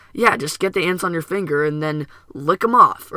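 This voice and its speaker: Using a put-on character voice, a man with a high pitch speaks at a moderate pace with lively intonation. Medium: solo performance. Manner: friendly, casual.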